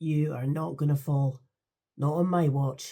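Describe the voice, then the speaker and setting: Somewhat breathy, a woman speaks with a Scottish accent in a very deep, low pitch and a dark, mellow tone. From England. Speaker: audiobook narrator. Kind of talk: audiobook narration.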